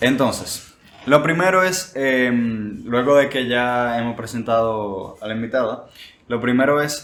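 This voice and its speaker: A man's voice with audible room echo. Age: young. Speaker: podcast host. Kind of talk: casual chat.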